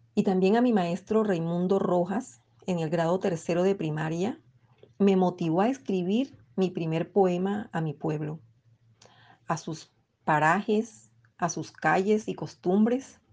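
A woman speaks in an ordinary speaking voice, medium in pitch with ordinary pitch variation. Her pace is fairly slow, and the background is quiet. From Colombian Caribbean coast (Bolívar). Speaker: poet and teacher. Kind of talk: interview with poetry reading.

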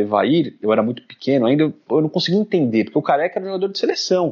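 This man talks in a fairly high voice and moves at a very fast pace. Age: 30s. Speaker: football club councillor. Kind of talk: casual chat.

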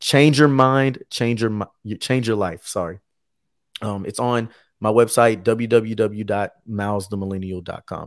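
With a plain, everyday voice, a man speaks fairly slowly and fairly low, his intonation fairly even but his loudness swinging widely, in a very clean recording with a silent background. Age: 20s. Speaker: author and motivational speaker. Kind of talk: interview podcast.

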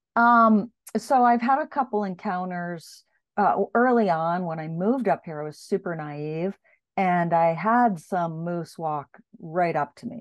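A woman with an ordinary speaking voice talks at a medium pitch. Her pace is fairly slow and her intonation lively. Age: 50s. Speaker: author and executive coach. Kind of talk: interview.

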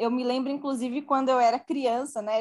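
The voice is a woman's, pitched high. Her intonation is fairly even. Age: 20s. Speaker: working mother in tech. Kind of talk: podcast interview.

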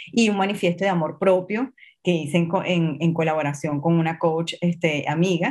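A woman speaks in a normal speaking voice, fairly low in pitch with fairly even intonation. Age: 40s. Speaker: image coach. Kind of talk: interview.

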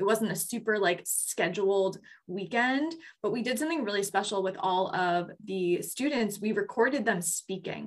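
A woman with an American accent speaks at a moderate pace and medium pitch with ordinary pitch variation, in an unremarkable speaking voice. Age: 20s. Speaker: podcast co-host, group facilitator. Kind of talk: casual chat.

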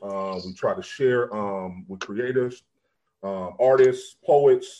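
His intonation is lively. A man speaks in a medium pitch with a normal speaking voice. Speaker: radio DJ and host. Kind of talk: radio talk show.

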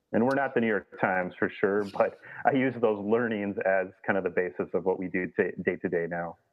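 A man with an American accent and a normal speaking voice, fairly low in pitch with ordinary pitch variation, at a fairly quick pace. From Minnesota. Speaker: outdoor gear journalist and publisher. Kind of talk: interview.

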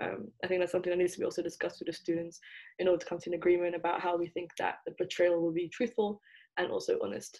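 This woman speaks very fast. She has an English accent. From England. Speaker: university student. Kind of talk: interview.

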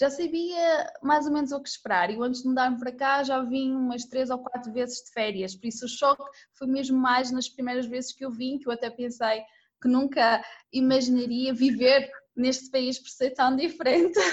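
A woman speaks at a moderate pace in a high voice. Her intonation stays fairly even. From Madeira, Portugal. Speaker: expat interviewee. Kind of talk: interview.

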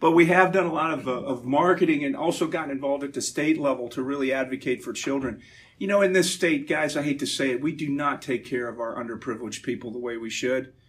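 A man with a fairly high pitch talks at a very fast pace with hardly any pauses and ordinary pitch variation. Audible room echo surrounds his voice. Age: 50s. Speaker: Navy veteran and energy businessman giving a church talk. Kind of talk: talk at a church gathering.

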